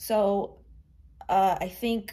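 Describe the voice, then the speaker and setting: A woman with a dark, mellow tone and vocal fry speaks with fairly even intonation. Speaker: musician. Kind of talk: casual chat.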